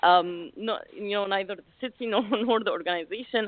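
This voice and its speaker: The speaker has an Arabic accent. Pitch varies in an ordinary way. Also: woman. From Egypt, Alexandria. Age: 40s. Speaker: life coach. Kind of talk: interview.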